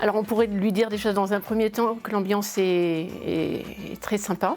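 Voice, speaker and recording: Her voice is medium in pitch, and the woman talks at a moderate pace with fairly even intonation. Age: 50s. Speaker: accountant. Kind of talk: interview. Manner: hesitant, many fillers and repetitions.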